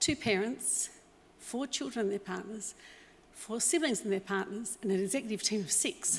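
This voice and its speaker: A woman with an Australian accent, medium pitch, moderate pace. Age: 60s. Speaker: business owner. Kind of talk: acceptance speech. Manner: unscripted, with fillers.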